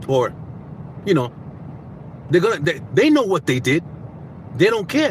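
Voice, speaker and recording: An animated man talks with lively intonation and an American accent. Noticeable background noise runs behind him. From Boston. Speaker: self-help vlogger. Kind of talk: casual monologue.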